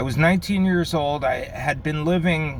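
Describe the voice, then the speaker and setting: With an American accent, a man talks at a moderate pace in a relaxed tone, over noticeable background noise and audible room echo. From Connecticut, Bridgeport (New York City area). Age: 50s. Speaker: pipe smoking vlogger. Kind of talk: casual vlog monologue. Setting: in a car. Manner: relaxed, with fillers and pauses.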